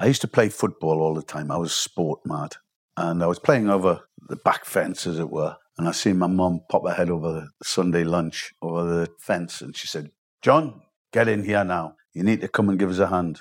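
A man with a Geordie accent and a very deep, low pitch. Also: ordinary pitch variation, moderate pace. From northern England, South Shields. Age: 60s. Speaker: chef. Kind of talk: interview.

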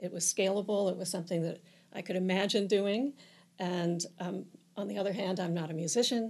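In an American accent, a woman speaks in a plain, everyday voice at a medium pitch with fairly even intonation. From Virginia peninsula, US. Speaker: nonprofit co-founder and board member. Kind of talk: interview. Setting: studio.

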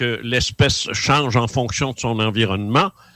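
A man with a Quebec accent, bright and sharp in tone, fairly slow, dry and close with no echo. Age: 70s. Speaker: author and former UFO investigator. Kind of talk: radio interview.

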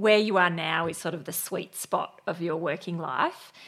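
The woman talks at a fairly slow pace. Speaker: podcast host. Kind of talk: interview.

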